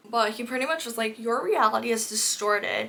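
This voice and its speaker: Noticeable background noise surrounds a woman speaking at a moderate pace. Her fairly high voice sounds animated. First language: not English. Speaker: book content creator. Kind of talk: casual chat.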